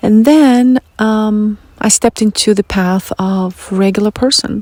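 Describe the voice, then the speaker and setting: A woman with a Russian accent speaks at a fairly slow pace with fairly even intonation. The sound is dry and close, with no echo. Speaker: spiritual podcast host. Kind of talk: personal monologue.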